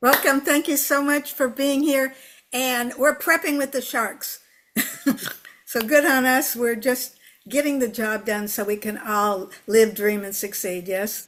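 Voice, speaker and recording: A woman speaks at a fairly slow pace in a high pitch. Her pitch varies in an ordinary way. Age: 80s+. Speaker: motivational speaker and movement founder. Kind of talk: interview testimony. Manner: animated; halting.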